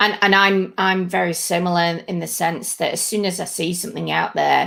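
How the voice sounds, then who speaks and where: A woman's fairly low, bright, sharp voice in a northern English accent at a moderate pace, on a very clean recording with a silent background. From northern England. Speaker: podcast host. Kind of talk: casual chat.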